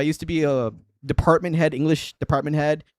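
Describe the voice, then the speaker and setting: Very fast speech from a man at a fairly high pitch, dry and close with no echo, in a very clean recording with a silent background. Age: 30s. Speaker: live-streaming guitarist. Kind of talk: casual live-stream chat. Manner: animated.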